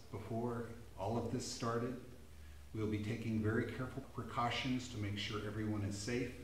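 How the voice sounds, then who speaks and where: The pace is moderate. Audible room echo and light background noise are present. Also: man. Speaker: pastor. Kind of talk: church announcement and sermon. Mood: warm, reassuring. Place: church.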